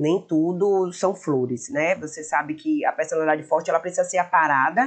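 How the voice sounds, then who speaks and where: This is a woman speaking with a Bahian accent. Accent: Bahian accent, drawn-out. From Bahia, Brazil (Feira de Santana). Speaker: shop owner and influencer. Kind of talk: podcast interview. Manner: talkative.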